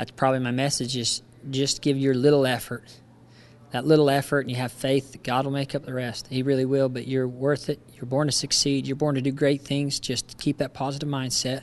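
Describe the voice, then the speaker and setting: At a fairly quick pace, a man with an American accent speaks in a medium pitch with monotone, flat intonation. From Utah. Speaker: motivational speaker and former rodeo rider. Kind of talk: interview. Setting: conference event.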